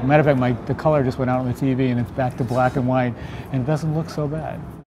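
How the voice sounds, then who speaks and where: Noticeable background noise accompanies a man speaking very fast at a medium pitch with fairly even intonation. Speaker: photographer. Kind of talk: interview answer. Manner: soft-spoken.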